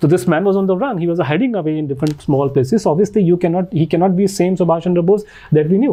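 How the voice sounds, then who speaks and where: A man with an Indian accent talks at a very fast pace. His pitch is high, with ordinary pitch variation. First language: Hindi. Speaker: author and researcher. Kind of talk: podcast interview. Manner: halting with frequent fillers.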